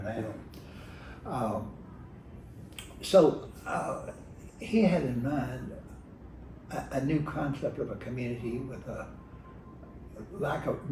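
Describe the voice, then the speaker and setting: Speaking at a very slow pace with an American accent and lively intonation, the voice breaks into long, frequent pauses over noticeable background noise. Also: man, medium pitch for a man. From rural Virginia, USA. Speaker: retired state legislator. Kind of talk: oral history interview answer. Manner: hesitant, with fillers and repetitions.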